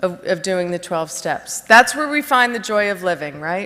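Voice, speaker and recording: Speaking with a New Jersey accent, a woman uses lively intonation at a medium pitch. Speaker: recovery speaker. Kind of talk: testimony. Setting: stage with audience. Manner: halting, many fillers.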